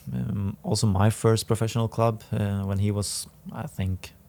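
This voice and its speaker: A man speaks at a fairly slow pace with a Swedish accent. His pitch is fairly low, with ordinary pitch variation. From northern Sweden, Härnösand. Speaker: professional footballer. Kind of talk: podcast interview. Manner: halting.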